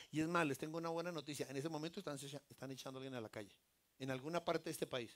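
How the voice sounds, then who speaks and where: This man speaks in an animated tone with ordinary pitch variation. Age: 60s. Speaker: lay preacher. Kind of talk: sermon.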